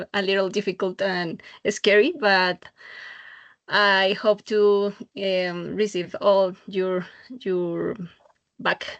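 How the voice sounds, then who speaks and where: Over a quiet background, a woman with a Spanish accent speaks in a monotone, flat intonation, with long, frequent pauses. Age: 40s. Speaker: adult university student. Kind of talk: self-introduction in class. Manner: halting.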